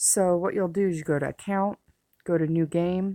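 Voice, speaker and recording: In a very clean recording with a silent background, a woman speaks fairly slowly in a fairly low voice with monotone, flat intonation. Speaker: gaming tutorial creator. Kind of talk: game tutorial. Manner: casual with fillers.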